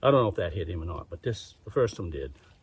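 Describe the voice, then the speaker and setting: Somewhat breathy, with lively intonation. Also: man. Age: 70s. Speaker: hunter. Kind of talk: storytelling.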